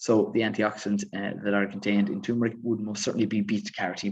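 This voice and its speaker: A man with an Irish accent is speaking. His pace is fairly quick. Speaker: fitness coach and author. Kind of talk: live stream Q&A. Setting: live stream. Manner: fast.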